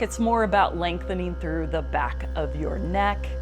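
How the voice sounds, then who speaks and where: A woman's calm, gentle tone at a moderate pace, with music in the background. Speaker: fitness trainer and yoga teacher. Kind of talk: guided stretching class instruction. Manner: calm, gentle, instructional.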